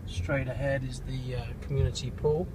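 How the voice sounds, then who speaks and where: A man at a moderate pace, dry sound with no echo over loud background noise. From England. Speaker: real estate agent. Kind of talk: casual property tour talk while driving. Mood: upbeat promotional. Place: car. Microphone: phone near.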